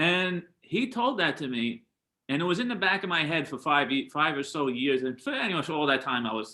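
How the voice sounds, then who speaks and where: A man talks with a strong New York accent. His pitch is fairly high and swings very widely. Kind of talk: casual interview chat.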